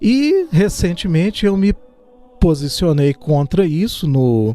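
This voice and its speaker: A man talks at a very slow pace, his intonation lively. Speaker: scout leader. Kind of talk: radio interview. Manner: halting.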